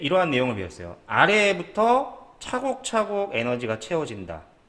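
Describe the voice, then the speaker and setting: A man's voice makes very wide pitch swings. Noticeable background noise and audible room echo surround it. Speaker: high school physics teacher. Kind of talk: online lecture. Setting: recorded with webcam. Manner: halting, frequent fillers and restarts.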